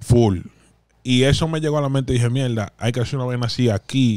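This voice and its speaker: Over a quiet background, a man speaks at a fairly quick pace with a dry sound and no echo. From Dominican Republic. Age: 30s. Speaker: podcast host. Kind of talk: casual chat. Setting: studio. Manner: animated. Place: studio. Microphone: studio mic.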